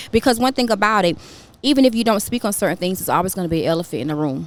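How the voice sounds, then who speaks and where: A woman speaks with lively intonation. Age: 30s. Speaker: podcast co-host. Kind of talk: casual chat. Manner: fast.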